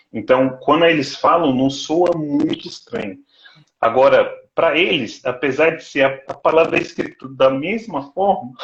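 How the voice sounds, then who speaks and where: This man has an ordinary speaking voice, fairly high in pitch, with ordinary pitch variation, a fairly slow pace and big swings in loudness. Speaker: doctoral student. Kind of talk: casual chat.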